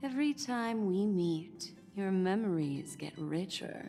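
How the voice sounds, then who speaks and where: A female-sounding put-on character voice at a medium pitch moves at a fairly slow pace over clear music in the background. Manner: smooth, sinister.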